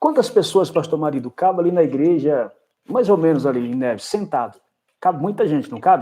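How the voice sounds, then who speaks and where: With a dark, mellow tone and a high pitch, a man talks at a fairly quick pace with very wide pitch swings. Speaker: pastor. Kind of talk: casual chat.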